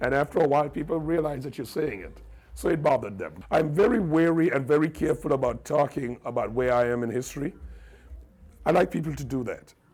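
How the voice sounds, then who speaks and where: In an American accent, a man races along at a very fast pace with vocal fry, a fairly high pitch and ordinary pitch variation. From Trinidad, San Juan. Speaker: radio broadcaster. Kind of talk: interview. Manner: repetitive stammering starts.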